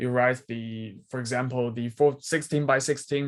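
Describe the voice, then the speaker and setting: Fairly slow and fairly even in intonation, a man with a Chinese accent speaks at a medium pitch. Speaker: student researcher. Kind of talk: technical Q&A. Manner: halting, many repetitions.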